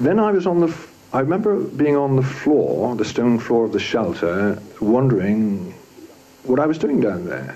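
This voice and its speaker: A man's pitch swings very widely as he talks at a moderate pace over noticeable background noise. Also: medium pitch for a man. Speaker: war witness. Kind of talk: interview answer.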